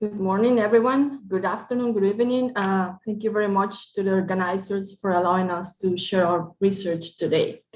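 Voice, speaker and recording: A woman's medium-pitched voice with a Spanish accent, fairly quick, with hardly any pauses and fairly even intonation. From Nicaragua. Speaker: researcher. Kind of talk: conference presentation.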